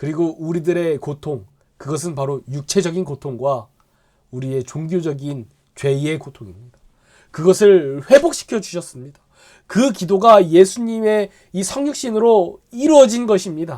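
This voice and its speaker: At a high pitch, a man with a dark, mellow tone talks at a moderate pace, his pitch swinging very widely. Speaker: pastor. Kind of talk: Bible study lecture. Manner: halting, filler-heavy.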